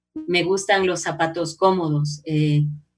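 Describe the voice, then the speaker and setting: Her voice is fairly low for a woman, monotone and flat, and she speaks at a fairly slow pace. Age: 50s. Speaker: journalist and radio announcer. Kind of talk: casual interview. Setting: video call.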